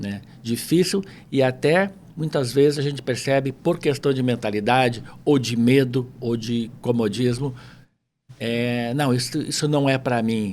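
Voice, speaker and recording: Speaking fairly slowly, a man uses a medium pitch with ordinary pitch variation. The recording is very clean, with a silent background. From Porto Alegre, southern Brazil. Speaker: entrepreneur, language school owner. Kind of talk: casual interview chat.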